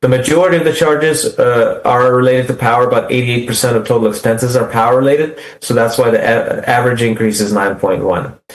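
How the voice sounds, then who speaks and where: A man's medium-pitched voice at a very fast pace, with hardly any pauses, fairly even intonation and very even loudness, over noticeable background noise. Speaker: utility rate consultant. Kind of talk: presentation to city council.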